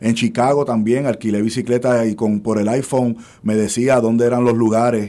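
Monotone and flat, a man's medium-pitched voice has a dark, mellow tone and very even loudness. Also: moderate pace. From Puerto Rico, Levittown. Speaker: engineer and radio co-host. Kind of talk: radio panel discussion. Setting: radio studio.

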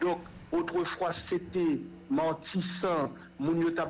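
A man's high-pitched voice with a Haitian accent, over noticeable background noise. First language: Haitian Creole (speaking French). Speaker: human rights organization director. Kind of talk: radio interview.

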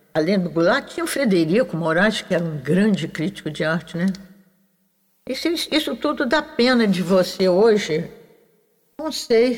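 A woman with a Carioca accent at medium pitch, moderate pace, very wide pitch swings and long, frequent pauses. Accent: carioca Brazilian Portuguese. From Rio de Janeiro, Brazil (Urca). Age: 90s. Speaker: visual artist. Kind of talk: interview.

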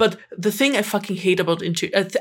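A woman with a German accent is heard in a very clean recording with a silent background. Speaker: podcast co-host. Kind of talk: casual chat.

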